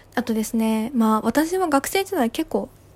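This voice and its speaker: A woman speaks in a relaxed tone at a fairly high pitch with ordinary pitch variation. Noticeable background noise sits behind her. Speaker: podcaster, office worker. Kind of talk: solo casual monologue. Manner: relaxed, many fillers.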